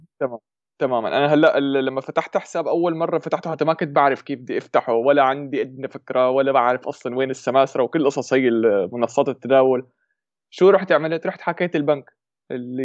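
A man talks fairly quickly in a fairly high voice whose pitch varies in an ordinary way. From Syria (Damascus). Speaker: YouTuber on investing. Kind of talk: casual chat.

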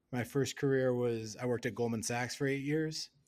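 Fairly even intonation and a medium male pitch from a man with an unremarkable speaking voice. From US Midwest, Wisconsin. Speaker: NFT research director. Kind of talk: casual interview.

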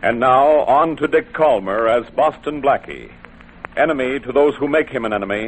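The man's voice sits at a medium pitch, moves at a moderate pace, and varies in pitch in an ordinary way.

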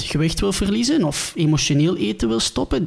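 A man speaks with a Ghent accent at a fairly high pitch. Noticeable background noise runs under his voice. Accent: Flemish, Ghent dialect. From Belgium, Ghent. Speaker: dietitian, former pro footballer. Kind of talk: podcast interview.

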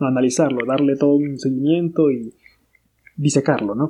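This man's voice sits fairly high. He speaks at a moderate pace with ordinary pitch variation. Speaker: international relations student representative. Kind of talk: casual chat.

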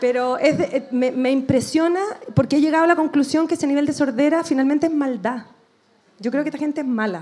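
A woman with a Chilean accent talks at a fairly quick pace, her high voice showing ordinary pitch variation. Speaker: political activist. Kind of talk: live podcast discussion. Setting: stage with audience.

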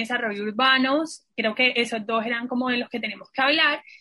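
Fairly even intonation runs through an ordinary speaking voice. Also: woman. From Colombian Caribbean coast (Santa Marta). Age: 20s. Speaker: university graduate and staff member. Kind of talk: casual chat.

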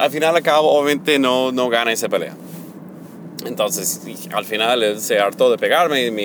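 A man with an American accent at a medium pitch, lively intonation, and noticeable background noise. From United States. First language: English (speaking Spanish). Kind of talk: personal testimony. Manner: halting, many fillers.

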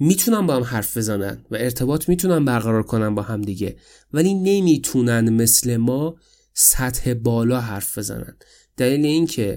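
A man's medium-pitched, dark, mellow voice with lively intonation, in a very clean recording with a silent background. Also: moderate pace. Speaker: podcaster. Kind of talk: solo podcast monologue. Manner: casual, conversational.

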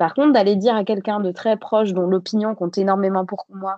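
The voice has a dark, mellow tone, ordinary pitch variation, and a fairly quick pace against a quiet background. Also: woman. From Bordeaux area, France. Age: 30s. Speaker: politician. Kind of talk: interview.

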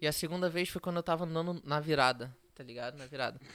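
A man's high voice at a fairly quick pace, dry and close with no echo, on a very clean recording with a silent background. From Rio de Janeiro, Brazil. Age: young. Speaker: startup co-founder. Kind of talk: casual chat.

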